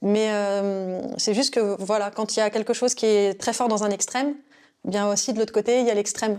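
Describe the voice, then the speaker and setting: A woman speaks at a moderate pace in a flat, monotone delivery with a dark, mellow tone and a fairly high pitch. The recording is very clean, with a silent background. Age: 30s. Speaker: intuitive consultant. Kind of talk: interview. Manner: hesitant, many fillers.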